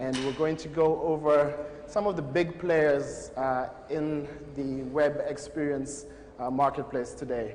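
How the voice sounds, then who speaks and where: Amid noticeable background noise and audible room echo, a man with an American accent speaks in a fairly high, monotone, flat voice. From Boston. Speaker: technology evangelist presenting at a conference. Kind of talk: conference presentation. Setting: room with live audience.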